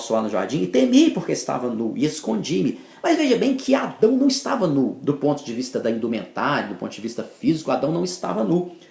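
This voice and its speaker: Rushing along at a fairly quick pace with hardly any pauses, a man speaks at a fairly high pitch, with very wide pitch swings and big swings in loudness. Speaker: bible teacher. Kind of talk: bible teaching talk. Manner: halting.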